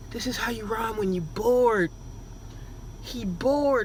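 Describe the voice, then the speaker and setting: Noticeable background noise accompanies a woman speaking in an animated tone. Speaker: reaction video host. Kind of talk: reaction commentary.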